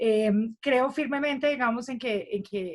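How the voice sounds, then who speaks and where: A woman with a slight northeastern Colombian accent. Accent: slight Cúcuta. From Cúcuta, Colombia. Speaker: economist. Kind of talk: panel discussion.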